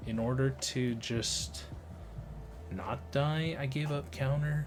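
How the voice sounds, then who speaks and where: With music in the background and audible room echo, a man talks at medium pitch, leaving long, frequent pauses. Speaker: card game player and content creator. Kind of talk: gameplay voiceover commentary. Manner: casual, filler-heavy.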